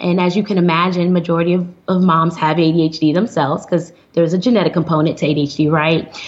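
There is noticeable background noise as a woman talks. Her pitch is fairly low, and her pace is moderate. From US Midwest, Flint, Michigan. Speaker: psychiatrist. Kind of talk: interview.

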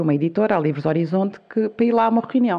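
A woman with medium pitch and lively intonation speaks in an ordinary speaking voice. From Azores, Portugal (São Miguel). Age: 40s. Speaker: entrepreneur, video maker. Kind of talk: interview conversation.

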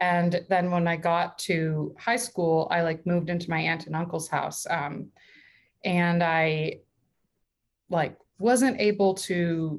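At a very slow pace, a woman with a fairly low pitch and an American accent speaks with ordinary pitch variation on a very clean recording with a silent background. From US West Coast (southern California). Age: 30s. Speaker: stand-up comedian. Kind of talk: casual chat.

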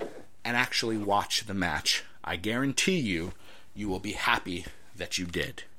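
A man talks at a fairly slow pace in a bright, sharp tone. His pitch varies in an ordinary way. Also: fairly low pitch for a man. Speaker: wrestling podcast host. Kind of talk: solo podcast monologue. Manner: animated.

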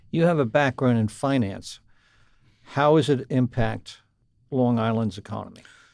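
A man with a medium pitch speaks at a moderate pace with ordinary pitch variation. Long, frequent pauses stand out on a very clean recording with a silent background. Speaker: radio podcast host. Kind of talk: interview. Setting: studio.

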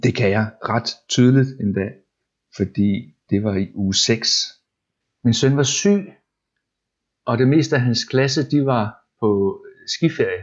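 A man speaks at a very slow pace with long, frequent pauses. His intonation stays lively throughout. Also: medium pitch for a man. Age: 40s. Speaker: web developer. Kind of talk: casual interview. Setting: at home. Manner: halting, repeats words.

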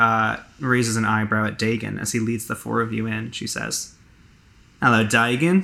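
A man with an ordinary speaking voice at a medium pitch, fairly even intonation and a fairly slow pace. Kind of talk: tabletop roleplaying game narration. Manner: descriptive storyteller.

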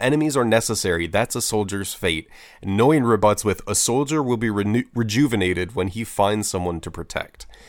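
This is a normal speaking voice at a fairly quick pace. Pitch variation is ordinary. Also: man, fairly low pitch for a man. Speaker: podcast co-host. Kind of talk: casual chat.

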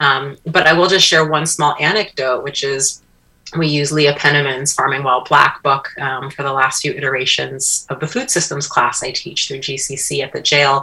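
At a moderate pace, a woman with an American accent speaks in a very deep, low pitch with fairly even intonation. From upstate New York. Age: 40s. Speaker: social designer and educator. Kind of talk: radio interview.

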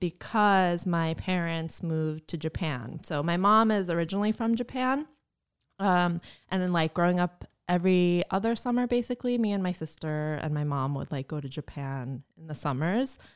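A woman with a New Jersey accent speaks at a fairly low pitch, recorded very cleanly against a silent background. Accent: New Jersey American. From New Jersey, US. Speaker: university staff, student affairs. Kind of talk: casual interview. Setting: studio.

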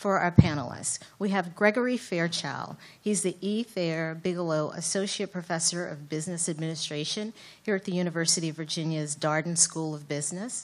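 Over a quiet background, a woman with an unremarkable speaking voice talks fairly quickly at a fairly low pitch with ordinary pitch variation. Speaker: event moderator. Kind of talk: speaker introduction. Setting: stage with audience.

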